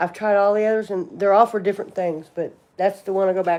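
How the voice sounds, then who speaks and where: A woman's medium-pitched voice with a Southern US accent. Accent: a little more southern than locals. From southern Indiana, near Louisville. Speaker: livestreamer, cosmetologist. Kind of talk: casual livestream chat.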